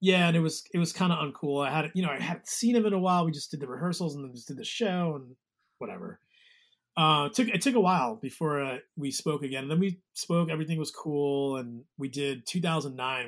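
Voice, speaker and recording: A man's fairly high voice, lively intonation, big swings in loudness, in a very clean recording with a silent background. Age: 40s. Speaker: musician and guitar tech. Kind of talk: casual interview chat. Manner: halting.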